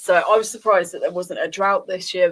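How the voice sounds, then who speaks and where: This woman speaks in a southern English accent. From Luton area, Bedfordshire, England. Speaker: community radio host. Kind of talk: casual chat.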